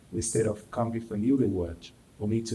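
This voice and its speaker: A man speaks at medium pitch with a Brazilian accent. Noticeable background noise sits behind him. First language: Portuguese. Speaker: actor. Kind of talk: panel discussion.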